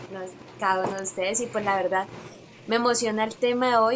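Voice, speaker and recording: The voice here is a woman's. She keeps her intonation fairly even. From Colombia, Bucaramanga. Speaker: podcast guest. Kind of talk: casual chat.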